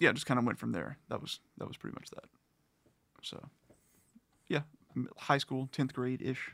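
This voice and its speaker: A man with a medium pitch, a bright, sharp tone and vocal fry, at a moderate pace. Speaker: music fan guest. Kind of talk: casual chat.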